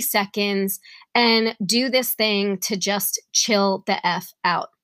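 In a New York accent, a woman with a bright, sharp tone speaks at a medium pitch with fairly even intonation, on a very clean recording with a silent background and a dry, close sound with no echo. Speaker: wellness podcast host. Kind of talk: solo podcast monologue with guided breathing.

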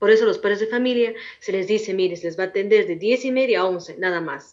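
Her pitch varying in an ordinary way, a woman talks at a very fast pace. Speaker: schoolteacher. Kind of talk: interview.

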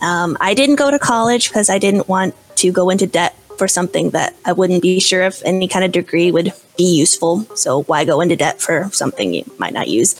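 Over noticeable background noise, a woman with an American accent talks at a fairly quick pace, medium-pitched with ordinary pitch variation and very even loudness. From US Midwest. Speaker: online language teacher and author. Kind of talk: casual interview.

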